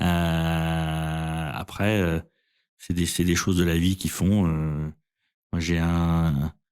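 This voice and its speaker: Very deep and low, a man's voice stays monotone and flat, the sound dry and close with no echo in a very clean recording with a silent background. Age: 50s. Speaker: insurtech co-founder. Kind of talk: interview. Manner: hesitant, many fillers.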